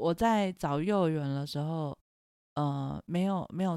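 The voice has a dark, mellow tone and ordinary pitch variation, in a dry, close sound with no echo. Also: woman. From Taiwan (Taipei). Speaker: podcast host, mother, psychology background. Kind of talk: casual chat.

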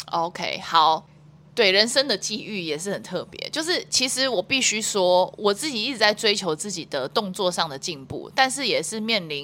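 In a Taiwanese accent, the speaker talks at a moderate pace in a bright, sharp tone with very wide pitch swings. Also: woman, medium pitch for a woman. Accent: Taiwanese Mandarin. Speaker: wakeboard athlete and international judge. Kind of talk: casual interview.

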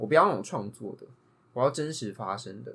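A man at medium pitch, talking at a very fast pace with lively intonation. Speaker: podcast co-host. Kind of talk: casual chat.

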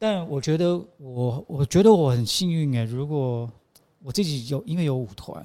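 A man with a dark, mellow tone speaks at a moderate pace, his fairly high pitch carried by lively intonation. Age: 50s. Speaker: choreographer. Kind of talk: casual interview.

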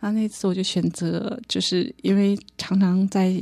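A woman with a fairly low, somewhat breathy voice and a dark, mellow tone speaks in a monotone, flat way at a fairly slow pace. The recording is very clean, with a silent background. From northeast China (Harbin). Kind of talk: testimony.

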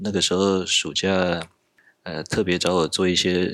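The man's very deep, low pitch comes with monotone, flat intonation. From Taiwan. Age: 40s. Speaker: software engineer. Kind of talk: casual interview chat.

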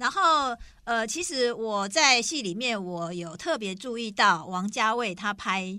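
A woman's normal speaking voice, fairly high in pitch, with lively intonation at a fairly slow pace. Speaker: podcast co-host. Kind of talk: casual chat.

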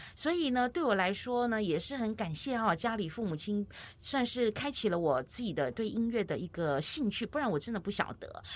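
Recorded very cleanly against a silent background, a woman with a fairly high pitch speaks at a fairly quick pace with very wide pitch swings and hardly any pauses. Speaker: music teacher for seniors. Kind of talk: interview.

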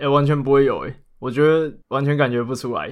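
A man's medium-pitched voice is heard against a quiet background. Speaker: anime podcast co-host. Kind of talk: casual chat.

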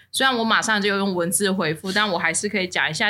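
Noticeable background noise runs behind a woman speaking. Her pitch is medium, with ordinary variation. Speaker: podcast co-host. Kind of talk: casual chat. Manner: animated.

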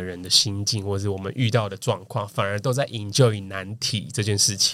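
An ordinary speaking voice with ordinary pitch variation. The recording is very clean, with a silent background. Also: man. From Taiwan, Kaohsiung. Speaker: marketing professional. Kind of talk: casual chat.

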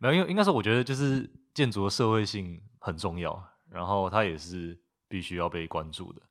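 On a very clean recording with a silent background, a man with a normal speaking voice and fairly low pitch talks at a fairly quick pace, with ordinary pitch variation and big swings in loudness. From Taiwan, Taipei. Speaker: recent architecture graduate. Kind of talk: casual interview. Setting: guesthouse in Tainan.

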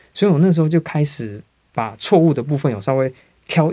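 A man speaks at a moderate pace. His pitch is fairly high and his tone dark and mellow. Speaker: English teacher. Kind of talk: interview.

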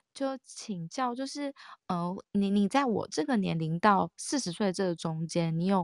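A woman speaks in an unremarkable speaking voice at a moderate pace, with ordinary pitch variation. The recording is very clean and dry, close with no echo, over a silent background. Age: 30s. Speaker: caller. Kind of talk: casual chat.

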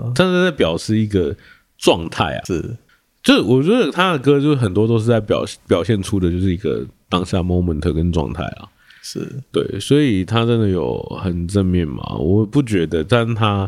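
A man speaks at a moderate pace with a fairly low pitch. His intonation is lively. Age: 30s. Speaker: podcast host. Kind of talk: casual chat. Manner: halting.

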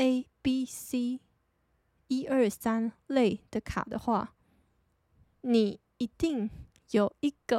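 A soft-spoken woman with a Taiwanese accent and a high pitch, ordinary pitch variation, in a very clean recording with a silent background and a dry, close sound with no echo. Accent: Taiwanese Mandarin. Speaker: podcast host. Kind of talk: casual solo talk. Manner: low-energy.

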